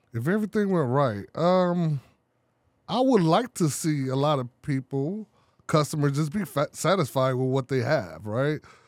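With an American accent, a man in a normal speaking voice uses a fairly high pitch and lively intonation at a moderate pace, recorded very cleanly against a silent background with a dry, close sound and no echo. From Chicago. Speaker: printing business owner. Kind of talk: casual chat. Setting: studio.

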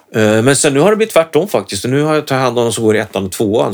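Noticeable background noise is present. The voice moves through very wide pitch swings. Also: man. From Sweden, Norrköping. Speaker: guitarist and guitar teacher. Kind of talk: casual chat. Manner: halting.

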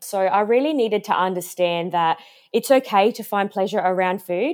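A woman speaks at a fairly quick pace with an Australian accent, her pitch medium with ordinary variation. The recording is very clean, with a silent background. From Australia, Adelaide. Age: 30s. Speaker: health coach. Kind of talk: interview.

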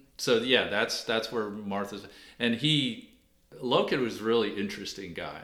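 Audible room echo surrounds a man with an American accent who talks at a moderate pace, his fairly low voice bright and sharp in tone. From Washington D.C. area. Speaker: author and local historian. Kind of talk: interview.

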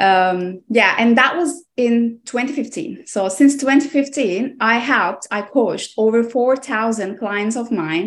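A woman with a Turkish accent talks at a very slow pace with hardly any pauses, her fairly high voice full of lively intonation. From Aegean coast of Turkey. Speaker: nutrition coach. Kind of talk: interview.

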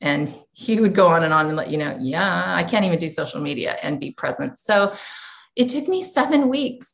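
A woman with a General American accent talks at a moderate pace and medium pitch, her voice making very wide pitch swings. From US. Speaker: educator and entrepreneur. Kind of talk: interview.

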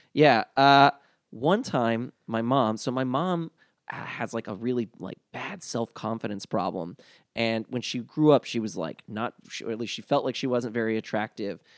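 A man with an American accent has a normal speaking voice, speaking at a medium pitch and moderate pace with ordinary pitch variation, in a very clean recording with a silent background. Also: dry, close sound with no echo. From US South. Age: 30s. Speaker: comedian. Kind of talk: casual chat.

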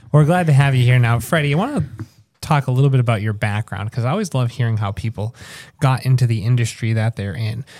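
This man speaks very fast at a medium pitch, with ordinary pitch variation. His voice is somewhat breathy. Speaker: podcast host. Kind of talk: casual interview.

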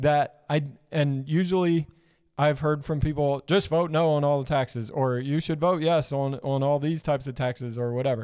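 A man has a plain, everyday voice with a fairly high pitch and ordinary pitch variation. He speaks at a moderate pace in a very clean recording with a silent background. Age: 30s. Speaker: podcast co-host. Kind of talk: casual chat. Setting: live-streamed studio podcast.

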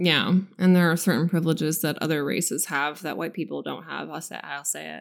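A woman's very deep, low voice with vocal fry and big swings in loudness. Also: fairly quick pace. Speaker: podcast co-host. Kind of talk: casual chat. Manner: animated.

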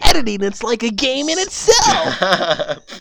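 A put-on character voice, high-pitched, with very wide pitch swings and a fairly slow pace. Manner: cartoonish, exaggerated.

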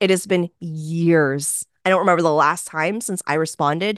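Over a quiet background with a dry, close sound and no echo, a woman talks in a plain, everyday voice at a fairly quick pace, fairly low pitch, and fairly even intonation. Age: 20s. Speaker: business coach. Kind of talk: interview.

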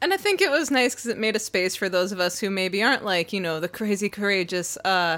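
Speech comes at a fairly quick pace in a bright, sharp tone. The recording is very clean, with a silent background. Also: woman. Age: young. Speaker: podcast co-host, creative writing background. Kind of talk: casual chat.

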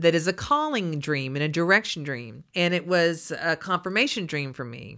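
A woman with a Texas accent speaks at a moderate pace, her pitch fairly low and her intonation lively. The tone is bright and sharp, and the recording is very clean over a silent background. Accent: Texas Southern US. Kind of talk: religious teaching talk.

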